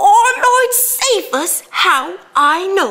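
A woman uses a squeaky, put-on character voice at an extremely high pitch. Her pitch swings very widely. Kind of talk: theatrical monologue. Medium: stage play. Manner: rambling, repetitive. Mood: wondering.

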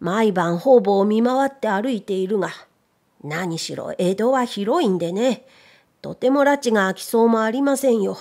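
At a fairly slow pace, a woman with a plain, everyday voice speaks with lively intonation and a fairly high pitch. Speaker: narrator; voice trainer. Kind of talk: audiobook reading.

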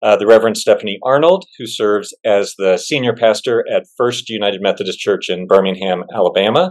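A man talks at a fairly quick pace with hardly any pauses. The background is quiet. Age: middle-aged. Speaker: church agency executive, webinar host; webinar host. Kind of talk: webinar moderation. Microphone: video call.

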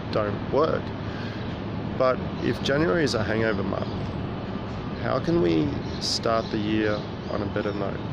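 Amid loud background noise, a man speaks with long, frequent pauses in a dry sound with no echo. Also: moderate pace. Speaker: vlogger. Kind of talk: casual vlog chat, reflective musing. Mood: reflective, calm. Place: waterside. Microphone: phone near.

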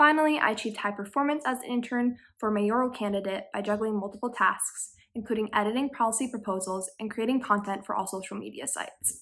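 Talking at a very fast pace with hardly any pauses, a woman has a fairly high pitch and ordinary pitch variation. She speaks with an American accent. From US Northeast, Connecticut. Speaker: student intern. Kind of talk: scripted self-introduction. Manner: formal. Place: home room. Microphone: phone near.

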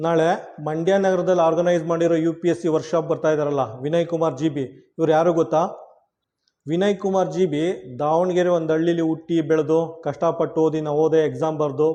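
A man's fairly high voice with a dark, mellow tone and monotone, flat intonation, against a quiet background. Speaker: YouTube educator and local promoter. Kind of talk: promotional announcement to local youth. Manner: emphatic.

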